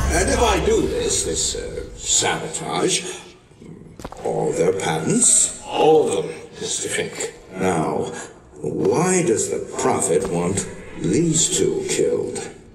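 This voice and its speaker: Using a put-on character voice, a man speaks at a very slow pace, with a slight echo and clear background noise. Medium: short film. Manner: hesitant.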